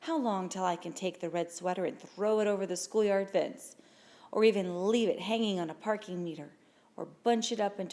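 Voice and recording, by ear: The text is read aloud in a natural voice.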